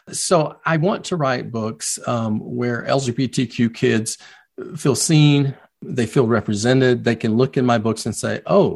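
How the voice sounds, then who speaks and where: A man with a South Carolina accent against a quiet background. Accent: Southern US (South Carolina). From US South, Low Country of South Carolina. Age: 50s. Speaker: children's book author. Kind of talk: interview.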